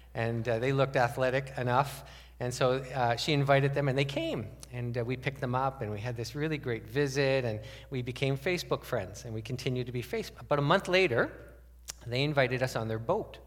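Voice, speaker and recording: A man at a medium pitch, talking at a fairly quick pace with fairly even intonation, audible room echo around him. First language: French. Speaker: pastor. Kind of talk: sermon.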